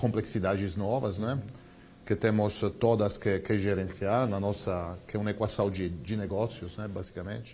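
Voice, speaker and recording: A man's fairly low, somewhat breathy voice with an Italian accent, at a moderate pace and with fairly even intonation. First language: Italian (speaking Portuguese). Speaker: company CEO. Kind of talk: TV interview. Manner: hesitant, many fillers.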